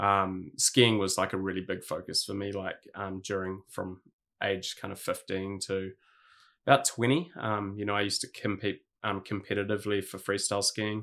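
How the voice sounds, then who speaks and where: A man speaks with a New Zealand accent at a moderate pace. His intonation stays fairly even. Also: fairly low pitch for a man. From New Zealand, Hawke's Bay. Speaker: streetwear brand founder. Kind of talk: casual interview chat.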